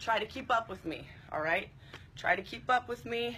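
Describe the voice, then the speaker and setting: At a moderate pace, a woman talks with lively intonation. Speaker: fitness instructor. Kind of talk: live workout instruction and viewer chat. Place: garden. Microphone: phone near.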